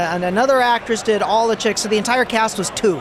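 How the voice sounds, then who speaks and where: With an American accent, a man talks at a high pitch for a man with ordinary pitch variation, over noticeable background noise. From Los Angeles and New Jersey (Air Force brat). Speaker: voice actor. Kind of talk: convention interview. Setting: convention floor.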